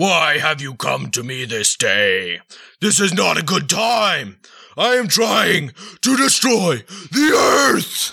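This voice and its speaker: A put-on character voice is used here. It moves at a fairly slow pace. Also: man, high pitch for a man. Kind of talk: comic overacting. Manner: grandiose, mock-archaic, easily delighted.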